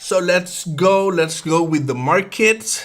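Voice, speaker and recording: In a Puerto Rican accent, a man speaks with a bright, sharp tone. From Puerto Rico (Bayamón). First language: Spanish. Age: 30s. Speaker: day trader. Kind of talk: live trading stream. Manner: halting, repeats words.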